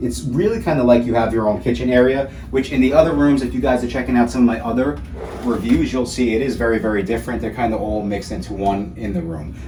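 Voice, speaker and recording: Over noticeable background noise and audible room echo, a man at a medium pitch speaks very fast in an enthusiastic tone with ordinary pitch variation. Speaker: travel vlogger. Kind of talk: video walkthrough review.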